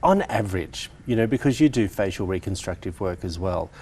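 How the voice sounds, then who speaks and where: An Australian-accented man at a moderate pace, somewhat breathy, with lively intonation. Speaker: TV host. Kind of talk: TV interview.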